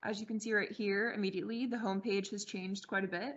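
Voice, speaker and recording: Soft-spoken, a woman talks at a medium pitch with fairly even intonation. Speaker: training presenter. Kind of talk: software demo. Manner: moderate, modulated tone; soft, quiet.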